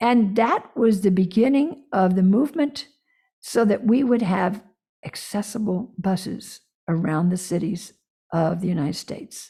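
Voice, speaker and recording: With an American accent, a woman speaks at a fairly slow pace in a medium pitch, her tone dark and mellow, somewhat breathy, with lively intonation. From US South. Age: 70s. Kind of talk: interview.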